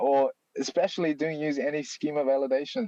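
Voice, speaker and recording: The dark, mellow voice carries a non-native accent and moves at a moderate pace, with a dry, close sound and no echo. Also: man. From China. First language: Chinese. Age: 30s. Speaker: software developer, library author. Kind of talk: live Q&A in online hangout. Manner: halting with fillers.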